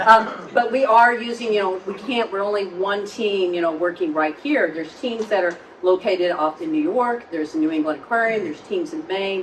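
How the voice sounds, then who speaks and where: Over noticeable background noise, a woman of medium pitch talks at a fairly quick pace with lively intonation and hardly any pauses. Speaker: marine lab executive director. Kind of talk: public talk with audience questions. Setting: live event venue with audience. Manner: fast.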